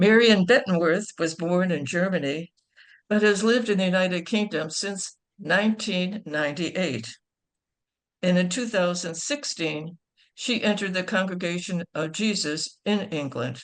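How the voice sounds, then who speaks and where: At a moderate pace, a woman with an American accent talks in a medium pitch with ordinary pitch variation. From Chicago, US. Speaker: nun introducing speakers. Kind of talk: speaker introductions. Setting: video call.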